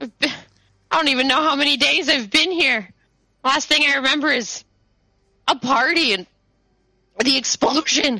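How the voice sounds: In a put-on character voice, a female-sounding speaker talks at a moderate pace in a high pitch, with long, frequent pauses.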